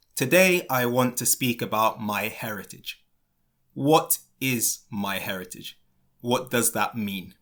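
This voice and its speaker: Very slowly, a man speaks with a British accent at medium pitch. His tone is bright and sharp, and the recording is very clean with a silent background. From London, England. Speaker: English teacher. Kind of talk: educational podcast for learners. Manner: clear, slow.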